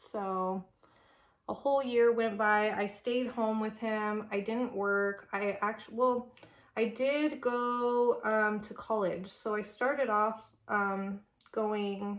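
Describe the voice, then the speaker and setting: A woman with a Californian accent speaks very slowly in a fairly high voice with fairly even intonation. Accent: Californian American English. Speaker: beauty vlogger. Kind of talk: casual chat. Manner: casual, filler-heavy with many ums.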